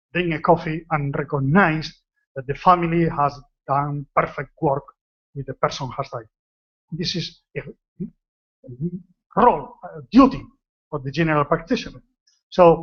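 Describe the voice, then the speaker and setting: The speaker talks at a moderate pace in a Spanish accent, with long, frequent pauses and ordinary pitch variation. The voice is somewhat breathy, and the loudness swings widely. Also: man. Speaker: retired general practitioner. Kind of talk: conference talk. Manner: relaxed.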